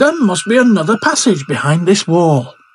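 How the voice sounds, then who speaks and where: The voice is a put-on character voice. Its pitch is in the middle range. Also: moderate pace. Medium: read story.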